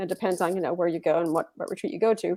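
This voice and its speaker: A woman speaks in a Texan accent. Her pitch varies in an ordinary way. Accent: Texan American English. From Texas. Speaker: writing coach and retired librarian. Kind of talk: interview on a live webinar.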